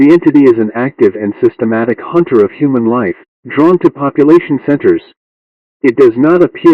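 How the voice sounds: A man at medium pitch with lively intonation and a fairly quick pace, in a dry, close sound with no echo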